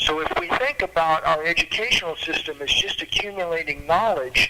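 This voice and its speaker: Lively intonation comes at a fairly quick pace over noticeable background noise. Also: man, high pitch for a man. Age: 70s. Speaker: arts educator and musician. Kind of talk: panel talk at a political club meeting. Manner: halting, repeats words.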